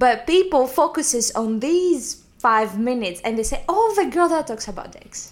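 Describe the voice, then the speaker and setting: A high-pitched woman's voice in a Greek accent, moderate pace, very wide pitch swings and hardly any pauses. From Greece. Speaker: comedian. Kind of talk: interview.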